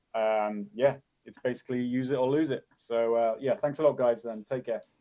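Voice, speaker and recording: A medium-pitched man with an English accent. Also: fairly even intonation, moderate pace, big swings in loudness. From England. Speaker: conference organizer. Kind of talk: interview.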